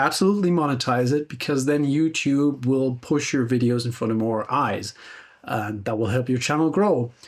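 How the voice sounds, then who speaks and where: Recorded very cleanly over a silent background, a man with a plain, everyday voice speaks at a moderate pace, his fairly high pitch rising and falling in lively intonation. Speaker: guitar gear YouTuber. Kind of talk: casual reflective monologue.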